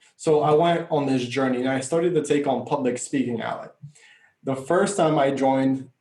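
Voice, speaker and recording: A man speaks at a fairly quick pace with a fairly high pitch and ordinary pitch variation. His tone is dark and mellow, and room echo is audible. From Bulgaria, moved to US at 9. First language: Bulgarian. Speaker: life coach. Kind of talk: podcast interview. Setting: podcast.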